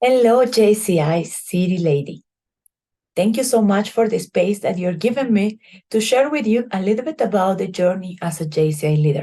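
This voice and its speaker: Speaking at a moderate pace in a Bolivian accent, a woman has a medium pitch, a dark, mellow tone and lively intonation. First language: Spanish. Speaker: chemical engineer and civic organization leader. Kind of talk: prepared presentation.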